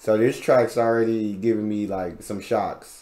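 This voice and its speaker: The speaker is a man with a medium pitch. He talks at a moderate pace over a quiet background. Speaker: reaction youtuber. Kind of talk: casual video reaction, chatting to viewers. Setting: home recording, reacting to a video. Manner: animated, conversational, excitable.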